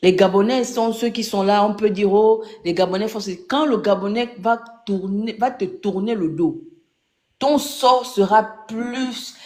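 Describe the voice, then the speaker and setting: The voice moves at a very slow pace, broken by long, frequent pauses. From Gabon. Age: 30s. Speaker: caller in political live debate. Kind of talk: impassioned political commentary. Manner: animated.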